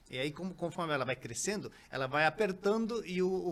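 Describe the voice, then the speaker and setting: This man's voice sits high in pitch. Its pitch varies in an ordinary way. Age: 60s. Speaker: company founder, natural health products. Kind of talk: interview podcast. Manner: halting, many fillers.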